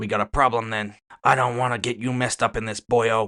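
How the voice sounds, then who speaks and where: Using a put-on character voice, a man talks at a fairly quick pace, raspy and medium in pitch, with monotone, flat intonation. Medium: read story. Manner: casual, unruffled.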